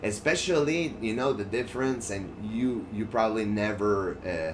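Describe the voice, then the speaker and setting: A man speaks at a medium pitch in a French accent. His intonation is lively, and audible room echo surrounds him. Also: moderate pace. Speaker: gaming streamer. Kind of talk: casual chat over gameplay. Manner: halting, with frequent fillers and restarts.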